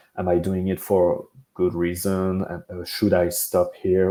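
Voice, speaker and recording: Very deep and low, a man's voice carries a dark, mellow tone. He speaks with a French accent. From France. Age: 20s. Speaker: pro wrestler. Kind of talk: interview. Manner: halting, many fillers.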